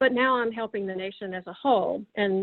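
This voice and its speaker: In a Tennessee accent, the speaker moves at a fairly quick pace with fairly even intonation. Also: woman. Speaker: government science policy official and roboticist. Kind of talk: interview talk about career. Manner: hesitant with many fillers and repetitions.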